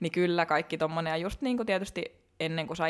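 Her intonation lively, a woman speaks at a fairly low pitch with vocal fry. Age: 30s. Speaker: fitness competitor. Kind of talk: casual interview chat.

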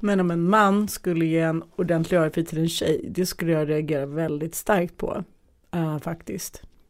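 In a very clean recording with a silent background, a woman with a plain, everyday voice speaks at a moderate pace, fairly low in pitch, her intonation fairly even. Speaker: podcast host. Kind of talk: casual chat. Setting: studio.

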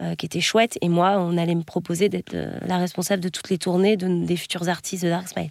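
Barely pausing, a woman with a fairly low pitch rushes along at a very fast pace in monotone, flat intonation. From western France, Nantes area. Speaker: tour manager for comedy shows. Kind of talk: interview. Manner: hesitant.

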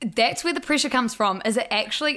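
This speaker, in a New Zealand accent, has a bright, sharp tone. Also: woman. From New Zealand, Blenheim. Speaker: social media news page co-founder. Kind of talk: casual interview chat.

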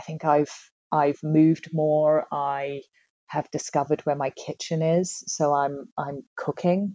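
Her voice is very deep and low, with a dark, mellow tone. The woman speaks at a fairly slow pace with monotone, flat intonation. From Tasmania, Australia. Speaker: real estate agent. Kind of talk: casual interview. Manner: hesitant, many fillers and repetitions.

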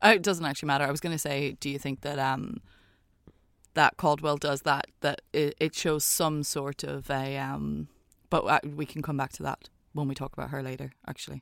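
Dry and close with no echo, a woman speaks at a moderate pace. Her very deep, low voice carries vocal fry. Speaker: podcast co-host. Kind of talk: casual chat. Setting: remote recording in a cupboard. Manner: animated, gets hyped up.

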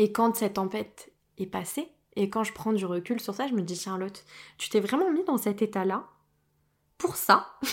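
The speaker moves at a moderate pace with ordinary pitch variation and long, frequent pauses. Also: woman, fairly high pitch for a woman. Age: 20s. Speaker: medium and spiritual podcaster. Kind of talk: solo podcast monologue. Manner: hesitant, many fillers.

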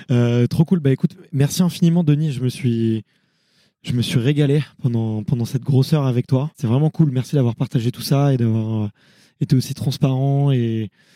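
Recorded dry and close with no echo, a man speaks at medium pitch in a dark, mellow tone with ordinary pitch variation. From Paris region (Montreuil), France. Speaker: podcast host. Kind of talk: casual interview.

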